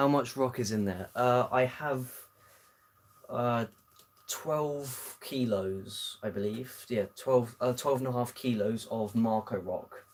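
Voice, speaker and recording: A man at a medium pitch, fairly slow in pace, with fairly even intonation. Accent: British. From southern England. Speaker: aquarium hobbyist streamer. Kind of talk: live stream Q&A. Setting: home live stream. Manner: hesitant, many fillers.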